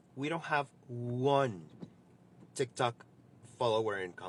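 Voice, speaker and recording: With a Spanish accent, a man speaks at a fairly slow pace. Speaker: social media user. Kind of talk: casual vlog. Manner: halting.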